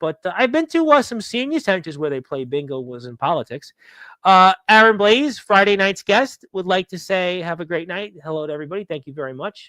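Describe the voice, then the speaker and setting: In a raised, projected voice with very wide pitch swings and big swings in loudness, the speech has a dry, close sound with no echo. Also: man, high pitch for a man, fairly quick pace, very clean recording, silent background. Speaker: wrestling talk show host. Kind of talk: live stream chat reading viewer comments.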